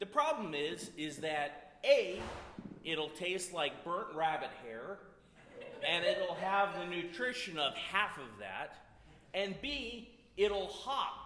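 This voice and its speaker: In a room with audible echo, a high-pitched man speaks very slowly with lively intonation. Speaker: storyteller at a community music event. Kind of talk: humorous storytelling to an audience. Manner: loud.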